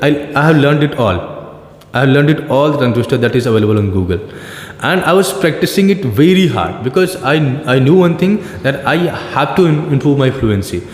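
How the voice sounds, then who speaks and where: With an Indian accent, a man talks at a very fast pace and a fairly high pitch, his intonation lively and his loudness very even, broken by long, frequent pauses. Noticeable background noise and audible room echo fill the recording. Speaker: teacher. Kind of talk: casual conversation about learning English. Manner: hesitant, many fillers and restarts.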